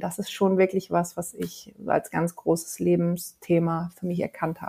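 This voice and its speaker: A woman's dark, mellow tone unfolds at a fairly slow pace. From Hamburg, northern Germany. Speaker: singer and voice coach. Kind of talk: interview.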